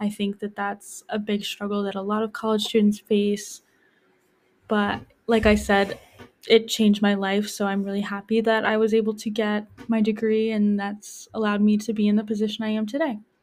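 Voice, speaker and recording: Speaking with an American accent, the voice stays monotone, its intonation flat throughout. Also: woman, fairly high pitch for a woman, moderate pace. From Hudson Valley, New York. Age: 20s. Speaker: community health educator. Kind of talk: casual interview.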